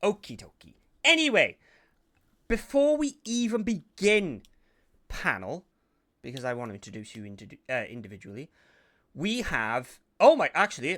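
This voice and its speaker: At a moderate pace and high pitch, a man with a Welsh accent sounds animated, with a bright, sharp tone, very wide pitch swings, big swings in loudness and long, frequent pauses, all in a very clean recording with a silent background. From Wales. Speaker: podcast host. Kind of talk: casual chat. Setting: live stream.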